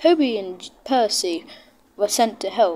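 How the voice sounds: A natural reading voice delivers the words with lively intonation.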